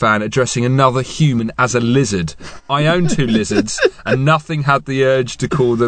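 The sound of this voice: In an unforced reading voice, the speaker shows ordinary pitch variation.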